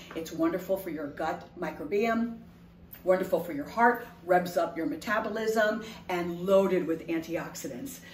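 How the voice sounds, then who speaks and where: A woman with an American accent talks at a moderate pace in a fairly low pitch, with ordinary pitch variation and big swings in loudness. Light background noise and audible room echo are present. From Haitian household, US. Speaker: food entrepreneur. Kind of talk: sales pitch. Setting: home kitchen. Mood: upbeat, enthusiastic. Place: kitchen.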